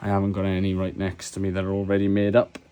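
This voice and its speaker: A quiet man's voice. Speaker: hobbyist maker and seller of mod kits. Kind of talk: tutorial.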